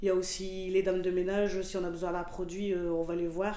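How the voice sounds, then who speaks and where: There is audible room echo and noticeable background noise around a woman speaking at medium pitch. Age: 30s. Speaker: shelter resident, job seeker. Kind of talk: testimony. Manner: hesitant.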